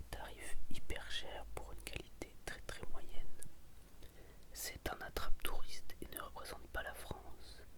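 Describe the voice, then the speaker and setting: Very slow whispering comes through noticeable background noise. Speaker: ASMR creator. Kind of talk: ASMR reading of restaurant reviews. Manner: whispered.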